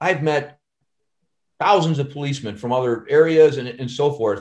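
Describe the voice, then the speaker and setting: A somewhat breathy man with an American accent. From Chicago. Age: 50s. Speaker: actor and stuntman. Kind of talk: casual chat.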